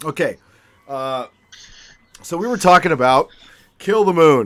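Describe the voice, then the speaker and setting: Loud and fairly high-pitched, a man speaks at a fairly slow pace with lively intonation. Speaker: podcast host. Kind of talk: casual chat. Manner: loud, excitable.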